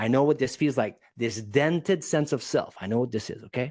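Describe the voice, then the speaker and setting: Against a quiet background, a man speaks with a non-native accent. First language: not English. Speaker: public speaking coach. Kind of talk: podcast interview. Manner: animated.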